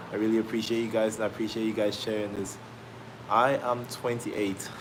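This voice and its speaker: A fairly quick delivery amid noticeable background noise. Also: man. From Australia. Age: 20s. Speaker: fitness trainer. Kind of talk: live stream chat. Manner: energetic.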